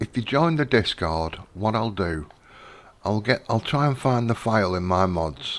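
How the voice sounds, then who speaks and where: Quietly, a man with a British accent speaks in a fairly low-pitched voice. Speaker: gaming live streamer. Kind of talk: gameplay live stream chat. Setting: home at night, live stream. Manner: talking quietly.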